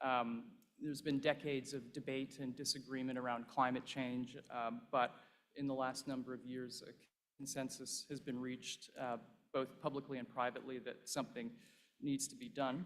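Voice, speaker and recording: This man has an unremarkable speaking voice, with a medium pitch, fairly even intonation and a moderate pace. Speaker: investment fund partner. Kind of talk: conference speech. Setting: stage with audience.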